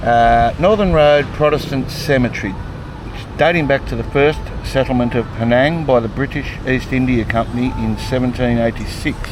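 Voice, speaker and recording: A man with an Australian accent speaks at a medium pitch and moderate pace, with ordinary pitch variation and hardly any pauses, over noticeable background noise. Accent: Australian twang. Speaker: travel vlogger. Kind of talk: travel vlog with reading aloud of signs. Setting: outdoors. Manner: halting, mumbling.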